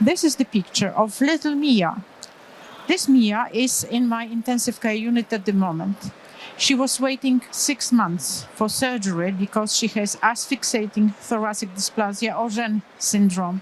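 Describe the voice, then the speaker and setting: The speech comes at a fairly slow pace over noticeable background noise. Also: woman, fairly high pitch for a woman, ordinary pitch variation. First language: Polish. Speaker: pediatric anesthesiologist. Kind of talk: conference lecture. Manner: halting.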